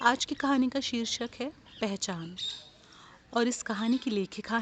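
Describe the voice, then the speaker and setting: A woman with a fairly high pitch and ordinary pitch variation speaks with long, frequent pauses over noticeable background noise. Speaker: storyteller. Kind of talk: short story reading. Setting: outdoors, garden with birdsong.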